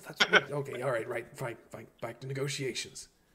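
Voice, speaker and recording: A man speaks at a fairly quick pace in a put-on character voice, raspy and at medium pitch, with fairly even intonation but big swings in loudness. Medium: actual play. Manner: chatty, casual.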